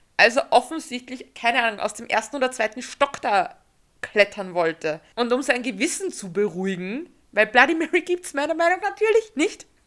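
Her voice is high-pitched with a bright, sharp tone as this woman talks at a fairly quick pace. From Austria. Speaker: podcast host. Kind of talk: casual chat.

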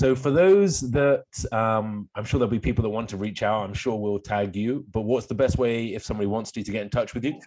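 A man with an English accent talks at a fairly quick pace. He barely pauses at all. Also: medium pitch for a man, ordinary pitch variation. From England. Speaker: podcast host, chiropractor. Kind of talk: interview.

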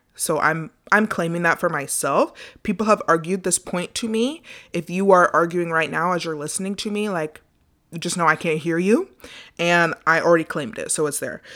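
On a very clean recording with a silent background, a woman with a fairly low pitch and a bright, sharp tone talks at a moderate pace. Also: ordinary pitch variation. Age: 20s. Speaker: podcast host. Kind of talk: solo podcast monologue, self-help. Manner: animated, passionate.

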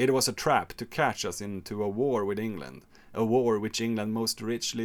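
A man talks with a plain, everyday voice at a fairly low pitch and moderate pace. His pitch varies in an ordinary way, and the recording is very clean with a silent background. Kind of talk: history podcast narration. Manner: measured, expository, narrating dates and quotes; playful, theatrical asides doing mock Napoleon.

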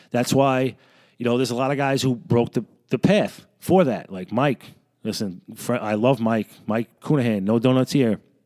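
A man speaks at a medium pitch with ordinary pitch variation, recorded very cleanly against a silent background with a dry, close sound and no echo. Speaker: podcaster, law enforcement officer. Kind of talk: angry rant, unscripted solo monologue. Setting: basement, home recording. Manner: heated, profane, emphatic; fast, off-the-cuff, conversational.

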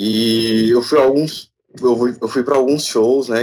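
An ordinary speaking voice, a man's, comes at a fairly slow pace with fairly even intonation over a very clean recording and silent background. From Brazil, Tocantins. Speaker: music producer. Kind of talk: casual chat.

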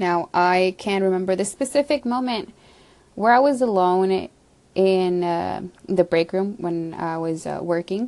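Against a quiet background, a woman with a normal speaking voice talks at a fairly slow pace, medium in pitch with ordinary pitch variation. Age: 20s. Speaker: podcaster. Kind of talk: casual monologue. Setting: home basement.

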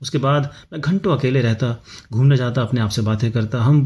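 A dark, mellow, somewhat breathy tone at a moderate pace with ordinary pitch variation. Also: man. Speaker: podcast host. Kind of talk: personal storytelling monologue. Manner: reflective, with pauses.

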